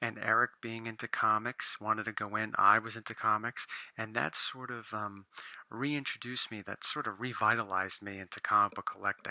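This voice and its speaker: Quiet and heard in a dry, close sound with no echo, a man speaks in a bright, sharp tone with fairly even intonation. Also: fairly low pitch for a man, fairly quick pace. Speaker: comic book collector vlogger. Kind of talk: casual vlog monologue. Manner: quieter, lowered voice.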